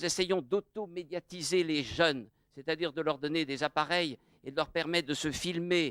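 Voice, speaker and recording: In a very clean recording with a silent background and a dry, close sound with no echo, a man with a high pitch talks at a moderate pace and ordinary pitch variation. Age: 70s. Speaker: adult education pedagogue. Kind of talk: public talk.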